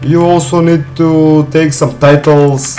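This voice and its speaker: A man with a non-native accent speaks in a flat monotone over noticeable background noise. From North Macedonia, Balkans. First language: Macedonian. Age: 20s. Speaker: gaming streamer. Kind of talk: live gameplay stream chat.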